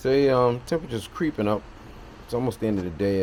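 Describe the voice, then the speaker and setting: This soft-spoken man talks with lively intonation. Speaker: car restoration hobbyist. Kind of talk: casual video update.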